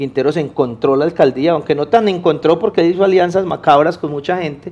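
A man with a paisa accent speaks at a moderate pace. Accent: paisa (Antioquia) Spanish, voseo. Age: young. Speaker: civic activist. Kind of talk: interview. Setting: TV studio. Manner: halting, many repetitions.

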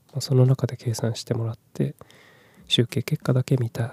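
A man's relaxed, dark, mellow voice at medium pitch, somewhat breathy and monotone, with a dry, close sound with no echo. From Japan, Kumamoto. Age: 30s. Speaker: podcaster. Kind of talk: casual solo talk. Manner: soft, relaxed.

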